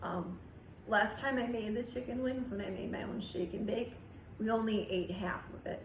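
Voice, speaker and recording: Over noticeable background noise and audible room echo, a woman speaks at a moderate pace with fairly even intonation. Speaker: YouTube cooking and budget vlogger. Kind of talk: casual vlog talk. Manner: hesitant, many fillers.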